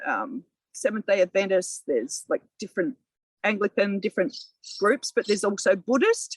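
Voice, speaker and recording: At a moderate pace, a woman speaks with an Australian accent in a somewhat breathy, medium-pitched voice with ordinary pitch variation. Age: 60s. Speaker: local councillor. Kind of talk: podcast interview. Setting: outdoors in a community garden.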